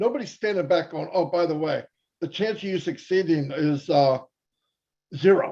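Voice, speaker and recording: A man's high-pitched voice with a dark, mellow tone at a moderate pace. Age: 60s. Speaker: network marketing presenter. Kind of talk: webinar presentation. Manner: casual, conversational.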